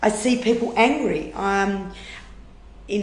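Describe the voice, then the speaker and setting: A woman with an Australian accent amid audible room echo. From Western Australia, rural Wheatbelt. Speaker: food rescue charity manager. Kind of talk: interview conversation.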